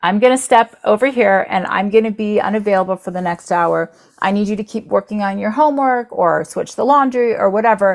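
An American-accented woman talks at a fairly quick pace with hardly any pauses, her pitch fairly high with ordinary variation. She has a plain, everyday voice. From Florida, US. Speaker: entrepreneur, company founder. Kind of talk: interview.

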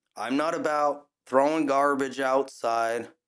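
A man with an American accent speaks at a fairly slow pace in a plain, everyday voice, his intonation fairly even. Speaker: podcast host. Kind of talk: angry rant; solo opinion podcast monologue. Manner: indignant, fired up, scornful; conversational, casual, with filler words.

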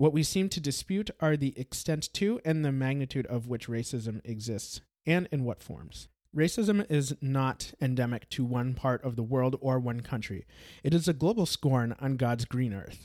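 A man with an American accent and an unremarkable speaking voice talks at medium pitch and a moderate pace with lively intonation. The recording is very clean with a silent background, with a dry, close sound and no echo. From Brazil. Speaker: podcast host. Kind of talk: scripted narration.

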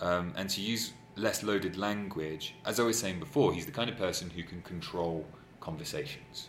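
There is audible room echo around a man's voice. He talks at a moderate pace with a very deep, low pitch. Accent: English. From England. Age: 30s. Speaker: anonymous interviewee. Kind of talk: casual chat. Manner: halting.

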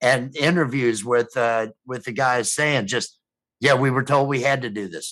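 This man has an ordinary speaking voice with an American accent, medium pitch, ordinary pitch variation and a moderate pace. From US Midwest, Rockford, Illinois. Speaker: streaming show co-host. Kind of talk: casual chat.

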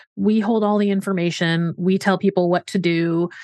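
A woman with an ordinary speaking voice talks at a moderate pace and medium pitch with fairly even intonation. The background is quiet. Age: 40s. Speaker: physician, podcast co-host. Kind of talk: casual chat.

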